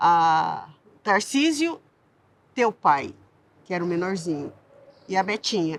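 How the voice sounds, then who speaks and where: The voice moves at a very slow pace with long, frequent pauses and very wide pitch swings. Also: woman, medium pitch for a woman. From São Paulo city outskirts, Brazil (childhood in southern Minas Gerais). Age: 60s. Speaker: community activist. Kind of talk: interview testimony. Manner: halting, with many false starts.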